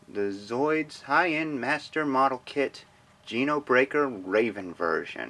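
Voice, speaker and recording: At a fairly slow pace, a man speaks with a fairly high pitch and lively intonation. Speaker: model kit reviewer. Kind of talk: product review. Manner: hesitant, many fillers.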